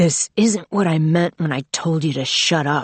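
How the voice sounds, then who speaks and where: In a put-on character voice, the speaker sounds husky and hoarse at a middle pitch and moderate pace. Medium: read story. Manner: arrogant, silky demanding.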